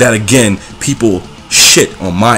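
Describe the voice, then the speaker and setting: Over music in the background, a man speaks in an angry tone with ordinary pitch variation. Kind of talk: angry rant to camera. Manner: angry, heated.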